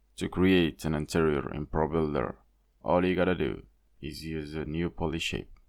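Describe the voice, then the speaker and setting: With vocal fry, a man speaks at a moderate pace in a very deep, low voice, his intonation fairly even. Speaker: indie game developer. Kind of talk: devlog narration.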